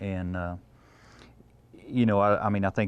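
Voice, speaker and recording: A man talks in a West Texas accent at a moderate pace. His intonation is fairly even. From Texas Panhandle, Wheeler. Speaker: feed yard assistant manager. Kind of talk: interview. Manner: halting.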